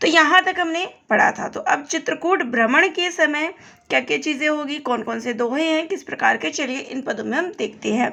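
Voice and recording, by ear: A woman's hoarse, high-pitched put-on character voice, fairly quick and full of lively intonation.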